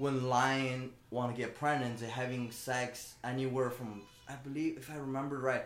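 Monotone, flat delivery from a man with a Chinese accent, medium pitch, moderate pace, music in the background. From China. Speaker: shoe business owner. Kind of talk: casual interview chat.

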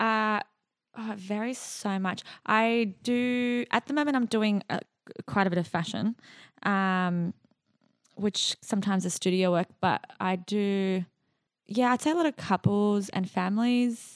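A woman's medium-pitched voice with ordinary pitch variation at a fairly slow pace, dry and close with no echo against a quiet background. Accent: Australian. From Iraq and Jordan as a child, raised in Australia from about age 10. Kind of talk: casual interview chat.

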